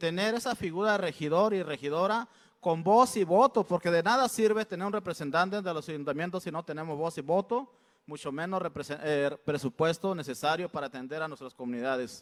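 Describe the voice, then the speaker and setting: Lively and high-pitched, a man talks at a fairly quick pace on a very clean recording with a silent background. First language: Mixtec (speaking Spanish). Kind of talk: public address at consultation. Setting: state congress hall. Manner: halting, with fillers.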